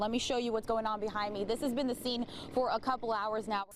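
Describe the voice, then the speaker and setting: A woman with a normal speaking voice talks at a fairly quick pace, her pitch fairly high. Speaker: TV news reporter. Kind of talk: live TV news report.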